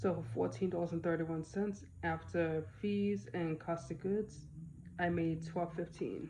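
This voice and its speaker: Speaking at a fairly slow pace with an American accent, a woman with a fairly low pitch and a dark, mellow tone shows vocal fry and very wide pitch swings. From Boston area, US. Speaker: online reseller, YouTuber. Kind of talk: casual vlog about sales.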